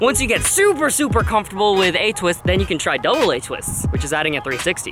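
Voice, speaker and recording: Speech comes at a very fast pace. Music plays in the background. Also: man. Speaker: parkour youtuber. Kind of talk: tutorial vlog. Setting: outdoors. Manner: animated.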